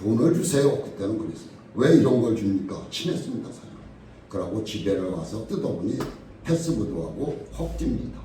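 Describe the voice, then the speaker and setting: Amid noticeable background noise and audible room echo, a man speaks with very wide pitch swings and big swings in loudness. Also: medium pitch for a man, moderate pace. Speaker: pastor. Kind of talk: sermon.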